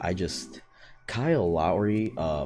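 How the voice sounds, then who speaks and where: A quiet man's voice with music in the background. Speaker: sports YouTuber. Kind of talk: casual sports recap vlog. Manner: quiet, late at night; hesitant, many fillers.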